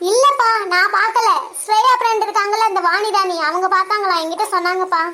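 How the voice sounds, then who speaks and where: A woman uses a cartoonish character voice pitched extremely high. Her loudness stays very even. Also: moderate pace, ordinary pitch variation. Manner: firm, distrustful.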